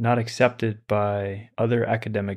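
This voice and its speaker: Against a quiet background, a man talks at a fairly slow pace, his fairly low voice monotone and flat. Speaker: meditation teacher. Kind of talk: lecture then guided meditation. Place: home room. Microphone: studio mic.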